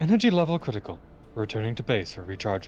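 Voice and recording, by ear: A robotic, put-on character voice rattles along at a very fast pace over clear background noise. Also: man.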